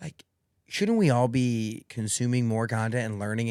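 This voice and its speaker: Here a man speaks with a Midwestern US accent. His pitch is medium and his pace moderate. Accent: US Midwest. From Indiana, Greentown. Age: 20s. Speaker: media company founder. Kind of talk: podcast interview. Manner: loud.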